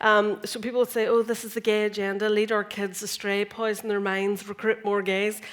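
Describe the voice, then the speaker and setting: Over noticeable background noise, a woman with a Northern Irish accent talks at a fairly quick pace with hardly any pauses. Her voice is fairly high and her intonation monotone and flat. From Northern Ireland. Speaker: comedian and science communicator. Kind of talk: stand-up comedy talk on stage. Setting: conference stage.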